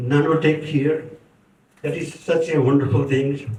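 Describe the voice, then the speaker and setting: A somewhat breathy man speaks at a fairly high pitch with fairly even intonation, with audible room echo around him. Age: 70s. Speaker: community speaker. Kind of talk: tribute speech. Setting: book launch event with audience.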